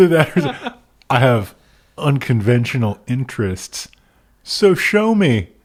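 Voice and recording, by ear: The text is read aloud in a natural voice.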